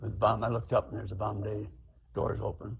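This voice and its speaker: A man's fairly low voice, somewhat breathy, monotone and flat, at a fairly quick pace. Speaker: war veteran. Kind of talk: testimony. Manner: halting.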